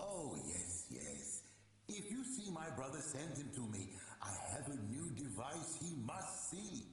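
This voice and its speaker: Using a put-on character voice, a man talks at a fairly slow pace and fairly high pitch, with a clear echo. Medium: video game. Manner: vague, distracted.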